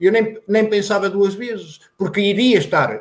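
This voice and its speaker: This man talks at a moderate pace in a high pitch. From northern Portugal, Santa Marta de Penaguião (Vila Real). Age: 40s. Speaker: former Olympic runner. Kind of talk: casual interview chat. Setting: video call.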